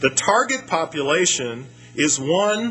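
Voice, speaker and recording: Over music in the background, the speaker uses lively intonation with an American accent. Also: man. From United States. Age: 50s. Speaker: economist. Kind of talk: lecture.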